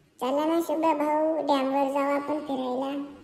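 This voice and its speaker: A cartoonish character voice at a high pitch speaks in a monotone, flat intonation at a moderate pace, with audible echo. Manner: deferential, calls friend "bhau".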